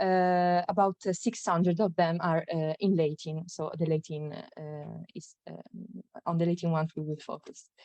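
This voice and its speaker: With an Italian accent, a woman speaks at a moderate pace and fairly low pitch, her dark, mellow tone held to fairly even intonation while her loudness swings widely, the sound dry and close with no echo. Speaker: graduate student presenter. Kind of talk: conference talk. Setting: online conference. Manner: halting, many fillers.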